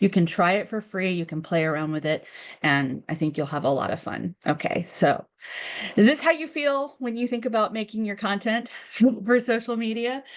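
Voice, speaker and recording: With an American accent, a woman speaks at a moderate pace at a medium pitch, her pitch moving in very wide swings. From United States. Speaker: communications director, webinar presenter. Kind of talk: webinar presentation. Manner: many filler words, hesitant restarts.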